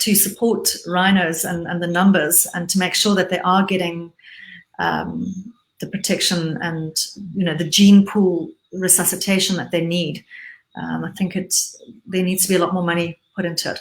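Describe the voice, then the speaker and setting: In a Zimbabwean accent, a woman speaks at a moderate pace with a medium pitch, a somewhat breathy sound and monotone, flat intonation. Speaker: businesswoman and conservationist. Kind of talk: interview. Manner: halting, many repetitions.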